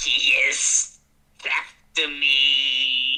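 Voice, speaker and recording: A put-on character voice with a hissing quality. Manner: scared, hissing.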